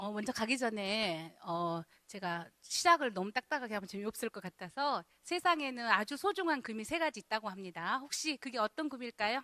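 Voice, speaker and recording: A bright, sharp tone at a moderate pace, with very wide pitch swings and a dry, close sound with no echo. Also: woman, fairly high pitch for a woman. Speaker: youth counseling center director, lecturer. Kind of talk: lecture. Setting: church hall with audience. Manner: casual, conversational.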